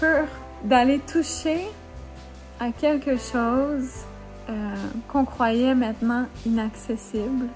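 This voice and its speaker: A woman speaks at a very slow pace in a Quebec accent, her pitch high and its variation ordinary, with music in the background. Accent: Québécois French. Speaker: author, YouTuber. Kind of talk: casual talk to camera.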